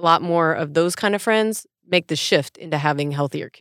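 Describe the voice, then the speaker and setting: A woman with a fairly low pitch uses an ordinary speaking voice and ordinary pitch variation, recorded with a dry, close sound and no echo. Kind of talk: casual banter podcast chat. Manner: playful, teasing, sarcastic.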